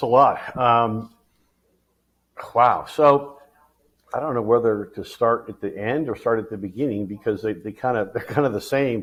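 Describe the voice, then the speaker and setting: At a moderate pace with long, frequent pauses, a man speaks at medium pitch with ordinary pitch variation. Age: 60s. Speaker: motorsports insider and podcast co-host. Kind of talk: casual chat. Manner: halting.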